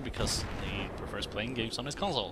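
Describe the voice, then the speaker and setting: Noticeable background noise is present. The voice belongs to a man. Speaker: gaming video creator. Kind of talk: let's play commentary. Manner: halting, self-correcting.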